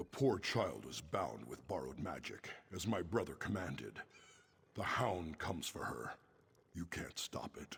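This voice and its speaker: A put-on character voice from a man, pitched very deep and low, delivered at a moderate speed. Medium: video game. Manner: weary, resigned.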